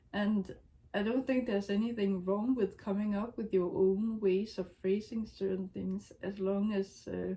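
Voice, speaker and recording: In a non-native accent, a woman with a medium pitch and a somewhat breathy, dark, mellow tone speaks at a fairly slow pace with monotone, flat intonation. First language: not English. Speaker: writer vlogger. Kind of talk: casual talk to camera. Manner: hesitant, many fillers.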